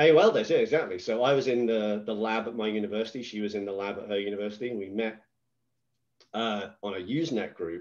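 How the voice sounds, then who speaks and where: Talking at a very fast pace, a man with an English accent keeps a fairly low pitch. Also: ordinary pitch variation. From England. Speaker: business executive. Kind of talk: podcast interview.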